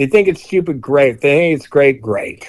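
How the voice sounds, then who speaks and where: A man with an American accent. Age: 60s. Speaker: punk singer and author. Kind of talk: interview. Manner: animated.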